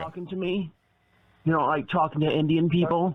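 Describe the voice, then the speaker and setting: Putting on a character voice, a man speaks at a fairly high pitch and a fairly quick pace. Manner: exaggerated, accusing.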